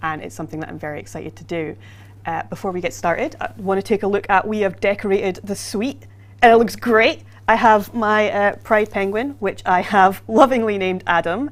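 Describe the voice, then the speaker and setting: A woman speaks at a fairly quick pace in a medium pitch with vocal fry, ordinary pitch variation, and big swings in loudness. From Scotland. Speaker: livestream host for a video game. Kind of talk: casual livestream chat.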